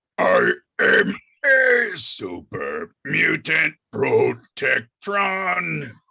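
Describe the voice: Using a put-on character voice, a man performs. His delivery is very slow.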